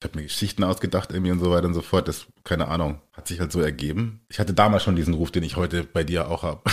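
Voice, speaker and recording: On a very clean recording with a silent background, a man with a very deep, low pitch races at a very fast pace with hardly any pauses and fairly even intonation. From Germany. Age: 40s. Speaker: podcast guest. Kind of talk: casual chat.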